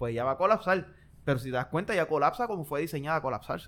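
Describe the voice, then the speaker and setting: A man with an ordinary speaking voice, a fairly high pitch and lively intonation. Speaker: podcast co-host. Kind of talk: casual chat.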